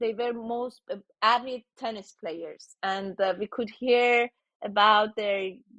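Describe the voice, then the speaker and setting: A woman with a Persian accent, a very slow pace, fairly even intonation and a bright, sharp tone. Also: dry, close sound with no echo. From Iran. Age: 60s. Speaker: tech founder. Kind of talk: interview.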